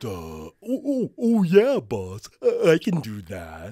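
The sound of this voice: Using a put-on character voice, a man speaks at a very slow pace with big swings in loudness, the sound dry and close with no echo.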